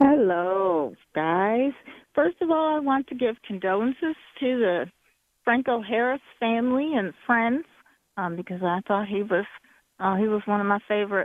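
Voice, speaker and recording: This woman has an unremarkable speaking voice, fairly high in pitch, with lively intonation at a moderate pace. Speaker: caller. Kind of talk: call-in sports chat. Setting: phone call.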